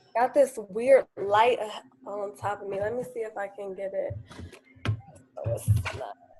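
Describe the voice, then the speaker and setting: Amid noticeable background noise, a woman speaks at a fairly slow pace with big swings in loudness. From Chicago, South Side. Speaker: financial strategist and author. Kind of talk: casual chat.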